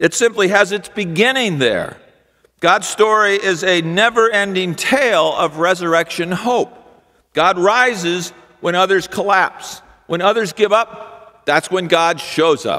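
Against a quiet background, a man uses a raised, projected voice with a bright, sharp tone, ordinary pitch variation, and a fairly slow pace. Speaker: pastor. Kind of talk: sermon. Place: church. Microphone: podium.

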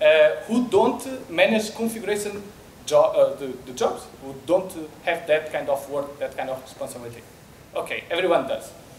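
A man with a Portuguese accent at a moderate pace, with light background noise and audible room echo. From Portugal, Porto. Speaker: software developer. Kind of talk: conference talk. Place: hall. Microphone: handheld.

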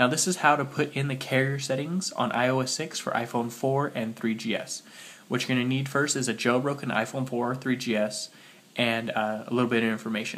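Male speech at a medium pitch, with noticeable background noise behind it. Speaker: tech tutorial youtuber. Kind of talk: tutorial. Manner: casual, hesitant with fillers.

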